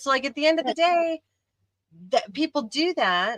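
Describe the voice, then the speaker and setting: A woman at a moderate pace, bright and sharp in tone, with a dry, close sound and no echo. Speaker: livestream host, ceramics hobbyist. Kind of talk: casual chat. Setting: live stream.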